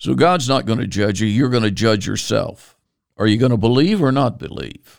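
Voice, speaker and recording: The speaker has an American accent and vocal fry, with a moderate pace and ordinary pitch variation. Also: man, medium pitch for a man. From Virginia, US. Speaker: preacher. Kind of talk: sermon. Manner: halting.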